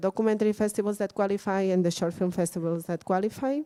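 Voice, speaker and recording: Here a woman speaks with a Catalan accent. Her tone is dark and mellow, at a medium pitch with ordinary pitch variation. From Catalonia, Spain. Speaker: workshop speaker on film festivals. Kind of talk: lecture. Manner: halting, many fillers and repeats.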